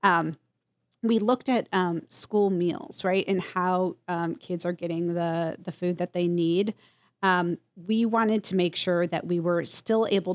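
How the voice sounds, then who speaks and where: A woman with a plain, everyday voice speaks at a fairly slow pace in a fairly low pitch and fairly even intonation, in a dry, close sound with no echo on a very clean recording with a silent background. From US, Mexican-American family. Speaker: county government executive. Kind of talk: interview.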